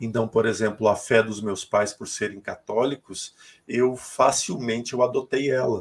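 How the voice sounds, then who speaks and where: An ordinary speaking voice at a fairly slow pace. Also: man, medium pitch for a man. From Rio Grande do Sul, Brazil (north, small town). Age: 40s. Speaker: spiritual medium. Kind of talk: interview testimony.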